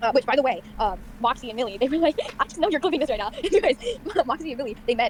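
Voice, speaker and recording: Talking very fast with lively intonation, a woman with a high voice comes through over noticeable background noise. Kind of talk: casual rant about show lore. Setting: kitchen at home with people around. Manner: loud; fast, halting with many fillers.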